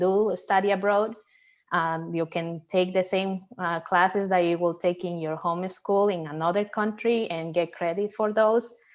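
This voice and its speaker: With a Spanish accent, a woman talks in a fairly even intonation. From Peru. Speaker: NASA systems engineer. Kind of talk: interview. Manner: halting, many fillers.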